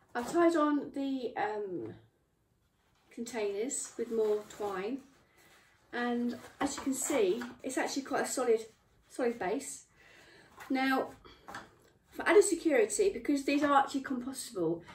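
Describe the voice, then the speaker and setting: A woman with a high pitch talks at a moderate pace, taking long, frequent pauses. Audible room echo and light background noise surround her voice. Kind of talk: tutorial. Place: workshop. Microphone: camera far.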